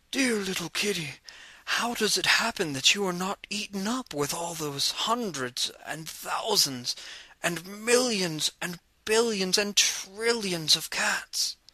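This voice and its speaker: A put-on character voice is raised and projected. It moves at a fairly slow pace with lively intonation. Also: man, high pitch for a man. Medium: read story.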